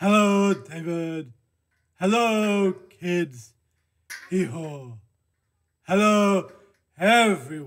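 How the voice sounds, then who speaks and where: Putting on a character voice, a man speaks very slowly at a high pitch with long, frequent pauses. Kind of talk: children's-time skit, friendly. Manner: sad, downcast.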